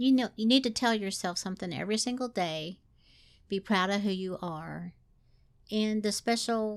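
A woman with a Southern US accent speaks at a moderate pace with a fairly high pitch and ordinary pitch variation. The recording is very clean with a silent background. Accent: Southern US twang. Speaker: podcast co-host. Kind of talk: casual chat.

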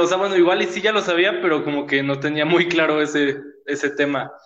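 A man speaks fairly quickly, his pitch varying in an ordinary way, as the room echoes audibly. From Mexico City. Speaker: podcast host. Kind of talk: casual chat.

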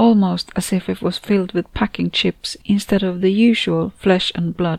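This is a natural reading voice. It reads the text as written.

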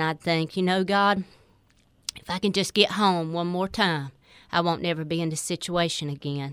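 Speaking with a North Carolina accent, a woman uses a fairly low pitch, fairly even intonation and a fairly quick pace. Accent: Southern US (North Carolina). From North Carolina, Four Oaks. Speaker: recovered addict. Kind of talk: testimony.

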